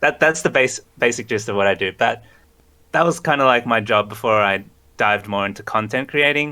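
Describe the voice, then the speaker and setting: A man with a slight Australian accent speaks at a fairly quick pace in a medium-pitched, bright, sharp voice with ordinary pitch variation. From Australia, Sydney. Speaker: graphic designer and streamer. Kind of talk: interview.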